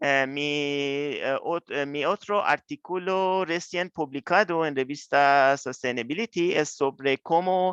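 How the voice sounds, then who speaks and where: Speaking at a very slow pace with hardly any pauses, a man with a non-native accent uses a fairly high voice and ordinary pitch variation, the sound dry and close with no echo against a quiet background. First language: not Spanish (speaking Spanish). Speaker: researcher. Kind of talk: lecture. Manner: halting.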